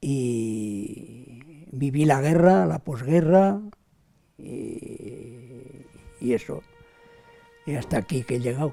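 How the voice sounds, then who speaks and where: At a very slow pace, the speaker uses lively intonation and long, frequent pauses while music plays in the background. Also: man, medium pitch for a man. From Aragon, Spain (Pyrenees, Huesca province). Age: 80s+. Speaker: war witness, elderly villager. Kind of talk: personal testimony.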